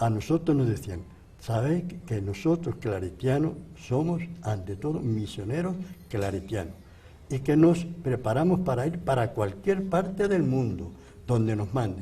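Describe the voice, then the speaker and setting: In a room with audible echo, a man speaks at a medium pitch and a fairly slow pace, somewhat breathy, with a dark, mellow tone and very wide pitch swings. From Spain. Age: 80s+. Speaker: priest, missionary. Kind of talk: interview testimony.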